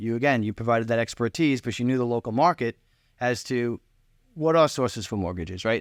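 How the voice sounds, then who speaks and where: A man at medium pitch with a Long Island accent, ordinary pitch variation and a fairly quick pace, on a very clean recording with a silent background and a dry, close sound with no echo. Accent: New York, Long Island. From New York, Long Island. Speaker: client, relocated homebuyer. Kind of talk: casual interview. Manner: halting, repeats words.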